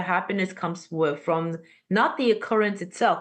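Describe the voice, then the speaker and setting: A woman speaks with a non-native accent at medium pitch and ordinary pitch variation. The background is quiet. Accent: foreign. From Armenia. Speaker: podcast guest. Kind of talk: casual interview conversation. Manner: animated.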